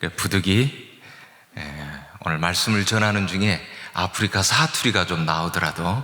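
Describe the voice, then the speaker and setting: Speaking at a fairly slow pace, this is a man. His pitch is very deep and low. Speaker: guest pastor and seminary professor, former missionary. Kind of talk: sermon. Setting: church. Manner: plain, easy-to-follow.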